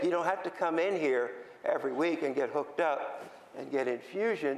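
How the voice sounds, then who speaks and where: In an American accent, a man talks at a moderate pace with a high pitch and ordinary pitch variation, and audible room echo surrounds him. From Philadelphia, US. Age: 70s. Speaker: patient advocate. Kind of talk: conference talk. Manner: halting.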